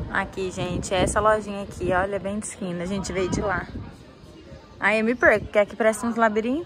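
A woman at a fairly quick pace, ordinary pitch variation, faint music in the background. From Brazil, Presidente Prudente, São Paulo state; São Paulo state, Brazil. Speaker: vlogger. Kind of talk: casual vlog. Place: street. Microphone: phone near.

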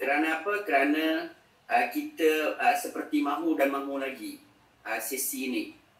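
The man keeps a moderate pace while audible room echo trails his words. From Malaysia. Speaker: religious education official; speaker, educator. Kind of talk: formal speech. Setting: video call. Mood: warm, thankful.

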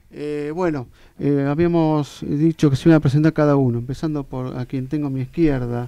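Over a quiet background, a man with a Rioplatense accent speaks at a moderate pace in a dark, mellow tone with fairly even intonation. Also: dry sound with no echo. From Argentina, La Plata. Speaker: radio host. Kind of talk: radio interview. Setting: studio. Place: studio. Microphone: studio mic.

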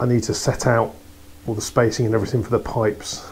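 Speaking at a very fast pace, a man has a fairly low pitch. His intonation is monotone and flat. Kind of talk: casual vlog chat. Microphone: lapel.

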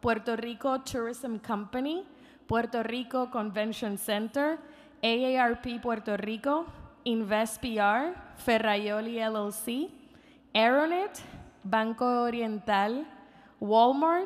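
A very slow pace broken by long, frequent pauses, over a quiet background. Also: woman. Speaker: event host. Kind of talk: event announcements. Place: stage. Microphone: podium.

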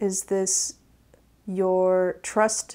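A woman with a dark, mellow tone. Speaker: tarot reader. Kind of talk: tarot reading video. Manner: slow. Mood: calm, reflective. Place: home room.

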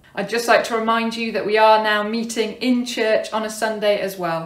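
The speaker is a woman in a room with audible echo. The background is quiet. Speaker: church minister. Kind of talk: service welcome and announcements. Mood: warm and welcoming. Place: home room. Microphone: phone near.

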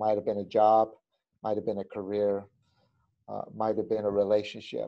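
With a dark, mellow tone, a man talks in a fairly low pitch. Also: quiet background. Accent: American. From Southern California. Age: 50s. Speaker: pastor and former pro skateboarder; pastor. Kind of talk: casual chat. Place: home room. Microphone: video call.

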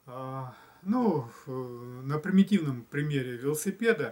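A man's lively intonation at a very slow pace. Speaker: spiritual blogger; video blogger. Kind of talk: reflective monologue. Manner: hesitant with fillers. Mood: calm, thoughtful. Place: home room. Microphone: camera far.

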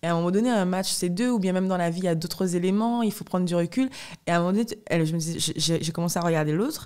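Against a quiet background, a woman speaks at a very fast pace with a fairly low pitch and ordinary pitch variation. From Guadeloupe. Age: 20s. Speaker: professional fencer; podcast guest. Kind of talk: interview. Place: home room. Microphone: studio mic.

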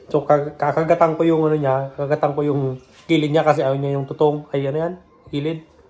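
Through noticeable background noise, a man with a fairly high pitch rattles along at a very fast pace in a monotone, flat intonation. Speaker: vlogger. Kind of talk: casual home vlog. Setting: at home.

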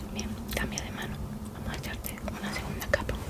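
A woman whispers. She is soft-spoken. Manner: soft ASMR near-whisper, slow and gentle. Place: home room. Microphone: phone near.

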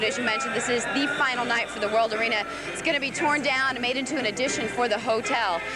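A woman speaks at a very fast pace over loud background music, the sound dry with no echo. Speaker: TV reporter conducting interview. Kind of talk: live TV news reporter interview. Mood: subdued, somber tone. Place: stadium. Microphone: handheld.

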